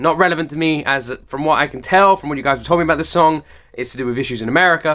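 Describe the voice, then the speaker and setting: In a British accent, a man speaks very fast with a fairly high pitch, a bright, sharp, upbeat tone and ordinary pitch variation. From United Kingdom. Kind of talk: reaction video talk to camera.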